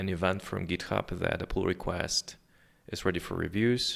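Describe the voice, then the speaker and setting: A man speaks with a non-native accent. His very deep, low voice keeps fairly even intonation. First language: not English. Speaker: software developer. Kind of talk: coding screencast tutorial. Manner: casual with many fillers.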